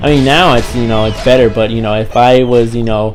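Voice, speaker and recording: Audible room echo and music in the background accompany a man as he speaks. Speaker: gaming YouTuber. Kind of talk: casual vlog talk to viewers. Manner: repetitive, many fillers.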